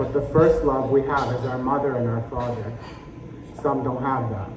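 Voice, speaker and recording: Behind this man's voice there is noticeable background noise. He keeps a moderate pace, a medium pitch and fairly even intonation. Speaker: spoken word poet. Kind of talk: spoken word poetry performance.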